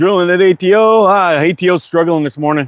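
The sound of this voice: At a fairly quick pace, a man speaks with a high pitch. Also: ordinary pitch variation.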